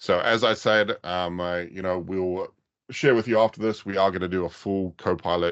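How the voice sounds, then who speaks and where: With a New Zealand accent, a man talks at a moderate pace in a very deep, low pitch. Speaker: IT consultant. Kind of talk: webinar presentation. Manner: hesitant with many fillers.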